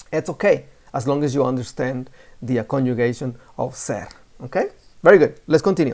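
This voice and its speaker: Speaking fairly quickly with a Spanish accent, the voice breaks into long, frequent pauses. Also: very clean recording, silent background. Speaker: Spanish teacher. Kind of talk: lesson. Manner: casual.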